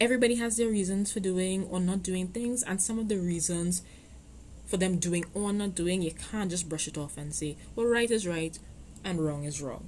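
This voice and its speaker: A woman speaks at a medium pitch with a dark, mellow tone and is somewhat breathy. Her pace is moderate and her pitch variation ordinary. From Trinidad. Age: 20s. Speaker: podcast host. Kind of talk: podcast monologue. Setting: home recording. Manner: hesitant, many fillers.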